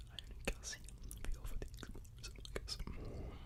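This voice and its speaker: A whisper at a moderate pace amid noticeable background noise. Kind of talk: ASMR ramble to camera, whispered item description. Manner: casual, rambling, with frequent filler words.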